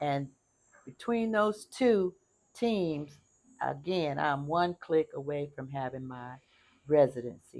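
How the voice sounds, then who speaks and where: Using an American accent, a woman with a very deep, low pitch speaks at a very slow pace with long, frequent pauses, lively intonation and big swings in loudness. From United States. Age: 70s. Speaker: retired expat vlogger. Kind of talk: casual vlog talk to camera. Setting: outdoors on a patio.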